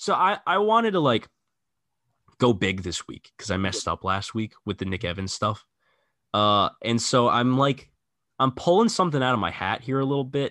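A man with a bright, sharp tone speaks at medium pitch and a moderate pace, his pitch swinging very widely. The sound is dry and close with no echo, over a quiet background. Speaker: sports podcast host. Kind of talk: casual chat.

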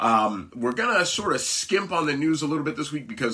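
Noticeable background noise accompanies this speaker. A man talks at a fairly high pitch and a moderate pace. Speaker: comic book podcast host. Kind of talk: casual chat.

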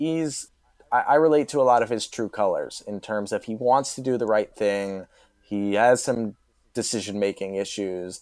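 The recording is very clean, with a silent background. A normal speaking voice goes at a moderate pace with ordinary pitch variation. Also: man, medium pitch for a man. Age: 20s. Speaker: podcast guest, TV fan. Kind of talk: casual chat.

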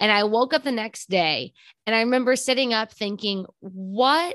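A woman with a Texan accent speaks at a moderate pace with lively intonation against a quiet background. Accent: Texan American. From Texas. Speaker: podcast host. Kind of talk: casual interview. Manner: talkative.

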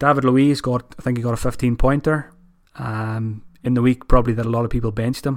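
A man's medium-pitched voice with an Irish accent, very fast pace and monotone, flat intonation, very clean recording with a silent background. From Ireland. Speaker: fantasy football podcaster. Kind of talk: solo monologue analysis. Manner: casual, many fillers.

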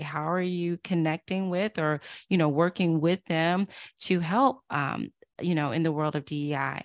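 In a very clean recording with a silent background and a dry, close sound with no echo, a woman with a plain, everyday voice and fairly low pitch speaks with an American accent at a moderate pace and ordinary pitch variation. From US South, Durham, North Carolina. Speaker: author and diversity consultant. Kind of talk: interview.

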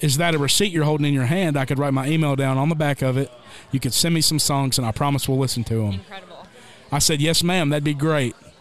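With a Southern US accent, a man talks at a very fast pace in a fairly high pitch over noticeable background noise. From Tennessee. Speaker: country singer. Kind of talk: storytelling.

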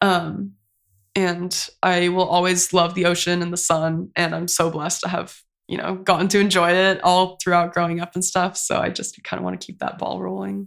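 In a very clean recording with a silent background, a woman with an American accent speaks at a moderate pace in a fairly low, monotone and flat voice. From California, Santa Cruz. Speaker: art graduate. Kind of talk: casual chat.

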